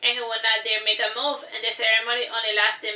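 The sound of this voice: The voice is an unforced reading voice. It is heard reading aloud.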